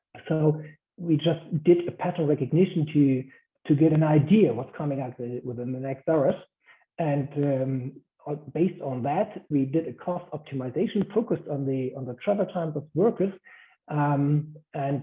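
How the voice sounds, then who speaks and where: A man with a German accent and a fairly high pitch. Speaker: guest speaker. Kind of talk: lecture. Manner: halting.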